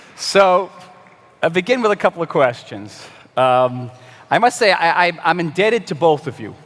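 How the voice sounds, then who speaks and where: With long, frequent pauses, a man speaks at a moderate pace in a high voice whose pitch swings very widely. Noticeable background noise runs underneath. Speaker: interviewer. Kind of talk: interview. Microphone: too far from the mic.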